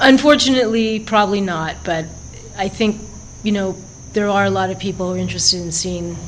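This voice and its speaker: A woman with an American accent at a fairly quick pace, over noticeable background noise. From California, United States. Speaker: journalist and documentary filmmaker. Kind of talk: interview answer.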